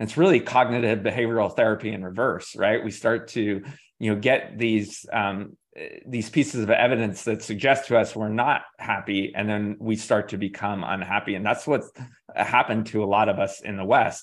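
A man speaks in an ordinary speaking voice, fairly low in pitch, at a moderate pace with fairly even intonation over a quiet background. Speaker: positive psychology researcher. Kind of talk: interview podcast conversation.

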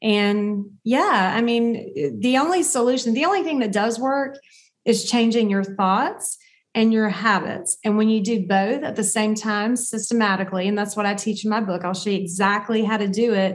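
A plain, everyday voice from a woman with an American accent, fairly high in pitch, at a moderate pace with ordinary pitch variation. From US South. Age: 50s. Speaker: dietitian and author. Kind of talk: interview.

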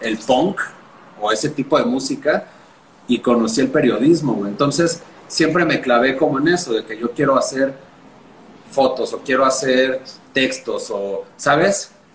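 A man with a fairly high pitch, a fairly slow pace and long, frequent pauses amid noticeable background noise. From Mexico City. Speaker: journalist and punk musician. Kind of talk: casual chat.

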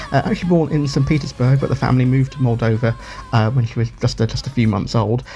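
Over noticeable background noise, a man with a British accent speaks at a medium pitch. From United Kingdom. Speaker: radio feature presenter. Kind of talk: radio show presenting.

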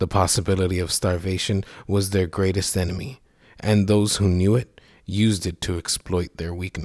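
Here the speaker uses a natural reading voice.

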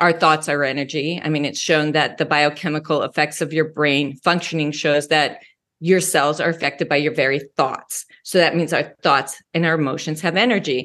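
Over a quiet background, a woman with a very deep, low pitch speaks in an American accent at a moderate pace, with fairly even intonation and hardly any pauses. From Wyoming and Colorado. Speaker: mindset coach. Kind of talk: interview.

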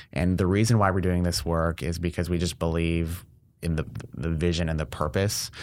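In a very clean recording with a silent background, a man with an Ontario accent speaks at a fairly quick pace with a very deep, low pitch and ordinary pitch variation. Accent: Canadian (Ontario). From Windsor, Ontario, Canada. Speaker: healthcare innovator. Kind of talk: casual interview chat. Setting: studio.

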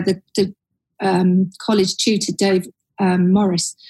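A woman with a London accent speaks in a somewhat breathy voice. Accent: London-sounding. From Surrey, southern England. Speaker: advertising creative director. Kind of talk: casual interview chat.

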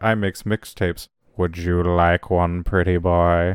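A put-on character voice delivers its lines at a fairly slow pace in a flat monotone, on a very clean recording with a silent background. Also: man, very deep, low pitch for a man. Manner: flirty, performed.

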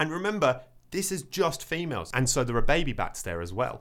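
A man speaks in an animated tone. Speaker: nature podcast host. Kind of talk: casual comedic chat. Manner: joking, animated.

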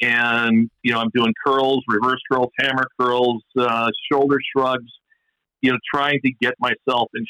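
A man talks in a plain, everyday voice at a fairly slow pace with fairly even intonation. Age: 60s. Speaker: musky fishing expert. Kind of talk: casual interview chat.

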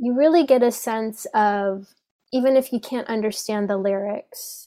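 In an American accent, a woman speaks at a fairly slow pace with a fairly high pitch, a dark, mellow tone and ordinary pitch variation, on a very clean recording with a silent background. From Iran, raised in the US. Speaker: belly dance teacher. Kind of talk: podcast interview. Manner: hesitant, with fillers.

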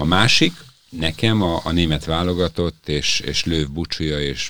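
With noticeable background noise, a man speaks at a fairly slow pace and with ordinary pitch variation. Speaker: podcast host. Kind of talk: casual sports chat. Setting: studio.

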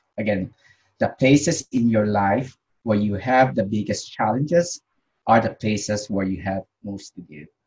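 Somewhat breathy and fairly low, a man's voice moves at a moderate pace with lively intonation. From Philippines. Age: 50s. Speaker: leadership coach. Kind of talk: interview. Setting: video call. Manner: halting.

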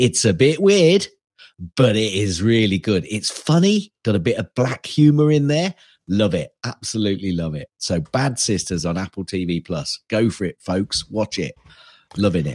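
A man with a British accent speaks at a moderate pace in a fairly low voice with very wide pitch swings. The recording is very clean, with a silent background and a dry, close sound with no echo. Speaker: podcast co-host. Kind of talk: casual chat.

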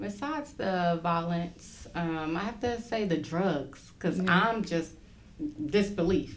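A woman speaks in a fairly low pitch with lively intonation. Audible room echo surrounds her voice. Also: fairly slow pace. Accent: American. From Brooklyn, New York. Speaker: school social worker. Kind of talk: casual interview.

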